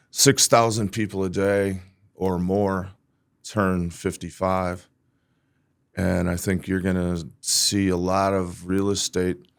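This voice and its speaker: On a very clean recording with a silent background, a man with a very deep, low pitch talks at a very slow pace with long, frequent pauses. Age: 60s. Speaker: real estate agent. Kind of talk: podcast interview. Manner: animated.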